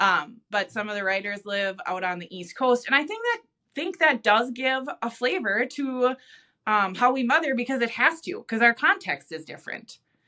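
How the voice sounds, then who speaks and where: A woman with a high pitch and a Midwestern accent speaks at a moderate pace in a bright, sharp tone. Her pitch swings very widely and her loudness shifts a lot. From US Midwest (Minnesota). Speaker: devotional author, podcast co-host. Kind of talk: casual chat.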